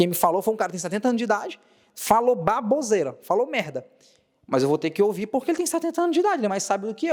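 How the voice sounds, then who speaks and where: With very wide pitch swings, a man talks in a high voice. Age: 20s. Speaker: monologue video creator. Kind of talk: solo monologue to camera. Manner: casual, repetitive emphasis.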